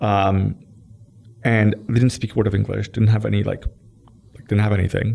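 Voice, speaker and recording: A dark, mellow tone with fairly even intonation and a Persian accent. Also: man. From Iran, moved to Toronto at 12. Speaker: tech company executive. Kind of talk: podcast interview. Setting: in-person studio interview. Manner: casual, many fillers and restarts.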